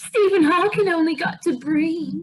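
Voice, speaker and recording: At a moderate pace, someone performs in a put-on character voice. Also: woman. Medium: comedy sketch.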